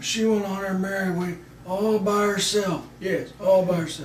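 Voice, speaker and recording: Mumbling in a put-on character voice, a man speaks with a high pitch in a monotone, flat intonation at a moderate pace, with light background noise and a slight echo. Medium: comedy sketch. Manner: hesitant, mumbling, repeats himself.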